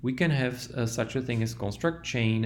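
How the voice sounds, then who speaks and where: A man speaks with a non-native accent and fairly even intonation. Audible room echo surrounds his voice. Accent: foreign accent in English. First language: not English. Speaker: language teacher. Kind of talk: tutorial.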